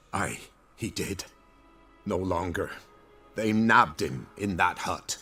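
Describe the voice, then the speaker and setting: Over faint music in the background, a man uses a put-on character voice with a fairly low pitch, speaking at a fairly slow pace with long, frequent pauses. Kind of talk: rustic peasant dialect. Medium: video game. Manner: rough rural speech.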